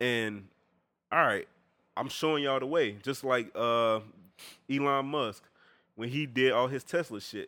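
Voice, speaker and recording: Bright and sharp in tone, a man speaks at a medium pitch with ordinary pitch variation, at a fairly slow pace. Long, frequent pauses break up his speech, and the recording is very clean with a silent background. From Georgia, US South (Augusta). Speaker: podcast guest. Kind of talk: casual chat.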